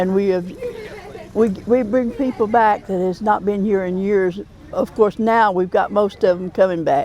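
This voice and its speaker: A woman with an Appalachian accent speaks at a moderate pace and medium pitch, her intonation fairly even, over noticeable background noise. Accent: Southern Appalachian US. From US South, western North Carolina Smoky Mountains. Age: 80s+. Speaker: cemetery association co-chair. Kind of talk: interview.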